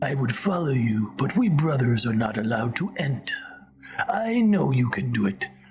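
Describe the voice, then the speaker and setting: A man uses a put-on character voice at medium pitch with very wide pitch swings. Clear background noise is audible. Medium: game stream.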